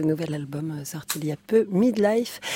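The sound is dry and close with no echo, though noticeable background noise is present as a woman speaks at a fairly slow pace. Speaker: radio host. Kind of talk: radio show presenting. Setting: studio.

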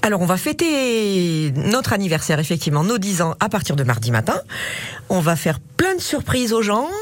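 The pitch swings very widely while loudness stays very even. The pace is moderate, with noticeable background noise. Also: woman, medium pitch for a woman. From Auvergne, Thiers area. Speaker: bookseller. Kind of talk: radio interview.

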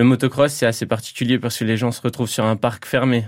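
On a very clean recording with a silent background, a man speaks at medium pitch with fairly even intonation. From Lorraine, France (Toul area). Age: 30s. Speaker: motorcycle rally rider. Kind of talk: radio interview. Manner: halting.

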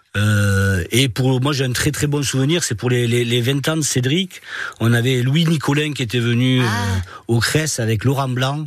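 A medium-pitched male voice at a fairly slow pace, with ordinary pitch variation. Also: very even loudness. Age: 60s. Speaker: charity volunteer, retired bank executive. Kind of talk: radio interview. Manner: halting, repeats words.

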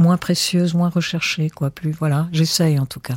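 The woman's voice is fairly low in pitch and somewhat breathy, captured with a dry, close sound and no echo. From Egypt. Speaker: writer and former radio producer. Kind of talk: interview.

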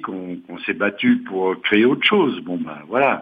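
A man at a moderate pace. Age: 60s. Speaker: retiree, housing cooperative resident. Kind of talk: interview.

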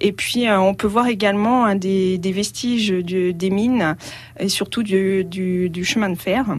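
At a very slow pace, a woman talks at a medium pitch with fairly even intonation. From France, Allier (Auvergne). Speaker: travel blogger. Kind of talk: radio interview. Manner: hesitant, with frequent fillers.

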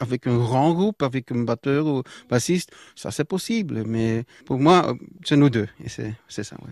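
Very slow, lively intonation from a man at medium pitch, with a dry, close sound with no echo and a quiet background. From Belgium, near Brussels. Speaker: guitarist and singer. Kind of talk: casual interview. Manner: halting.

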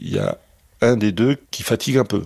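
A dry, close sound with no echo, from a man speaking very slowly. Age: 60s. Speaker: father of kidnapped newborn. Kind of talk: testimony.

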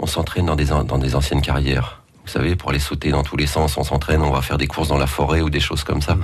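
The voice races along at a very fast pace in a flat monotone, its loudness staying very even. The room echoes audibly, and background noise is noticeable. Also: man, very deep, low pitch for a man. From northern France. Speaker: street performer. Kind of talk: radio interview.

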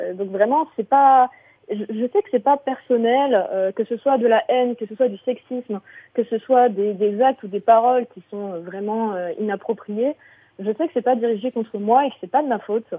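A woman with a plain, everyday voice, fairly high in pitch, at a moderate pace, with ordinary pitch variation and big swings in loudness. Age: 30s. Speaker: content creator and streamer. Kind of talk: casual radio interview. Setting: radio show.

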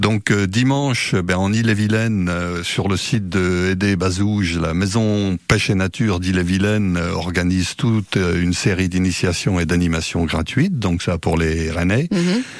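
A man with a very deep, low pitch talks at a moderate pace with ordinary pitch variation and hardly any pauses, over noticeable background noise. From Brittany (Jugon, Côtes-d'Armor). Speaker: fishing association representative. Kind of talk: radio interview. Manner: hesitant, frequent filler sounds.

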